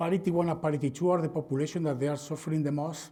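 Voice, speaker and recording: A man with a Spanish accent speaks in a dark, mellow tone, keeping his intonation fairly even. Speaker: veterinarian and swine industry presenter. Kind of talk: conference presentation.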